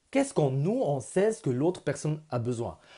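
A man with a non-native accent and a dark, mellow tone swings very widely in pitch over a quiet background. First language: not French (speaking French). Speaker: vlogger. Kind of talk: personal vlog; personal vlog story. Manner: halting. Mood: earnest, personal, reflective. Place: home room. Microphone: earbuds.

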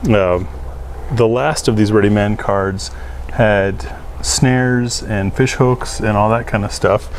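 A man speaks at a fairly low pitch and a very slow pace. Light background noise is audible. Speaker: channel host. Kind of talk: product review chat. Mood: relaxed, laughing. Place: garden. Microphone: lapel.

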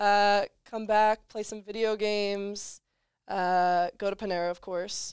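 A woman speaks at a fairly slow pace in a monotone, flat intonation. The sound is dry with no echo against a quiet background. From North Jersey; New Jersey. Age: young. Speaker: college basketball player; guest. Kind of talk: casual chat. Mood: relaxed, cheerful. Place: studio. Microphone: headset.

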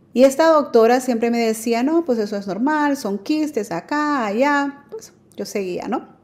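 A woman's speech moves at a moderate pace, its pitch rising and falling in an ordinary way. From Nicaragua, then New Orleans from age 10. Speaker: adoptive mother sharing her story; guest. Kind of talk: testimony. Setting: remote connection. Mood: calm, personal, warm. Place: home room.

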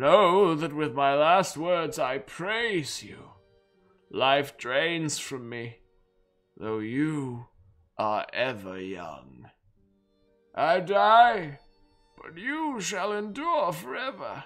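Using a put-on character voice, a man speaks very slowly at a fairly high pitch with very wide pitch swings, big swings in loudness and long, frequent pauses, while faint music plays in the background. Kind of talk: dramatic letter reading. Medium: game stream. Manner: solemn, fervent, devotional.

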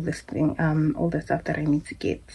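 A woman speaks with a low pitch, little pitch movement and a dark, mellow tone.

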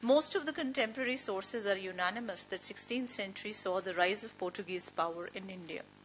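Woman at a fairly quick pace with ordinary pitch variation, light background noise behind her. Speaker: speaker. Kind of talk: academic paper reading. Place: meeting room. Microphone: podium.

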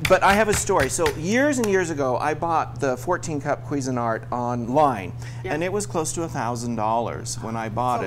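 Music plays in the background as a man talks. His pace is fairly quick and his pitch variation ordinary. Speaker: TV chef host. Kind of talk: cooking demonstration tutorial. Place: studio. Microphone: lapel.

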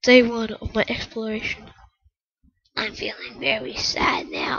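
In a whisper, a woman speaks at a fairly slow pace. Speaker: gamer. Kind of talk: gameplay commentary. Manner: casual, rambling.

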